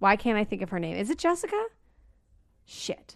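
Loud and animated, a woman speaks in a fairly high voice against a quiet background. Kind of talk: casual chat.

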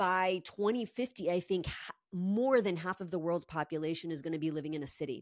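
A plain, everyday voice moves at a fairly quick pace. The recording is very clean, with a silent background. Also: woman, fairly low pitch for a woman, ordinary pitch variation. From New York and Barcelona. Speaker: holistic home designer. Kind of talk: casual interview.

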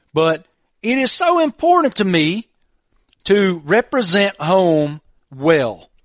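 The man's voice sounds dry and close with no echo, over a quiet background. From Southwest Virginia, Appalachia. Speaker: podcast host. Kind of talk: casual chat.

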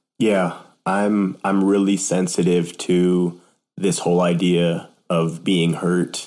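A man's very deep, low voice, very slow and monotone, with very even loudness on a very clean recording with a silent background. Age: 20s. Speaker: church staff member and sales worker. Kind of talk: casual chat.

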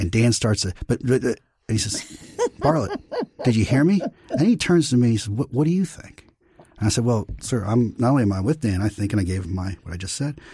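Using lively intonation, a man with a medium pitch speaks at a very fast pace. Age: 50s. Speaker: guest podcast host, former press secretary. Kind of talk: interview conversation. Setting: studio in Washington.

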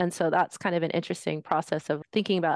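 Heard over a quiet background, the voice carries an American accent, with a dry, close sound and no echo. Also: woman. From San Fernando Valley, California. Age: 40s. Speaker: bookshop director and arts organizer. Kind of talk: casual interview conversation.

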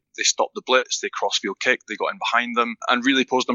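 A man rattles along at a very fast pace with a Scottish accent. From Scotland. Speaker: retired rugby player. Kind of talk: casual interview.

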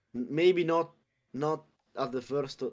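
Here a man talks with an Italian accent and ordinary pitch variation. The recording is very clean and the background silent. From Italy, Abruzzo. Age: young. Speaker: card game tournament champion. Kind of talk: casual interview.

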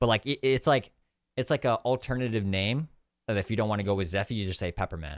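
Talking very fast, a man with a Californian accent has a fairly low pitch and ordinary pitch variation. The recording is very clean with a silent background, and the sound is dry and close with no echo. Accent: Californian American. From US West Coast (San Diego, California). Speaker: gaming YouTuber and streamer. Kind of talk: casual interview. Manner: halting, many fillers and repeats.

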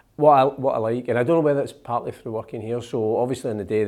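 With a Scottish accent, a man speaks at a very fast pace in a dark, mellow tone with ordinary pitch variation. The recording is very clean, with a silent background. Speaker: magazine editor and podcast co-host. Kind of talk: casual chat. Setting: studio.

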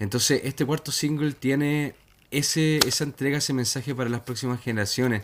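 With a Chilean accent, a man talks fairly quickly in a medium pitch and fairly even intonation. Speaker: musician. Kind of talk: interview.

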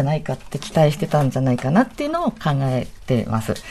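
Very wide pitch swings in a woman's dark, mellow tone. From Ibaraki, Japan. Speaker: architecture and urban design figure. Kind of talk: radio panel discussion.

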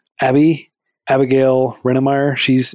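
Recorded with a dry, close sound and no echo, a man talks at a moderate pace in a plain, everyday voice, his pitch medium. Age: 30s. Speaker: nonprofit founder. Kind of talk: interview.

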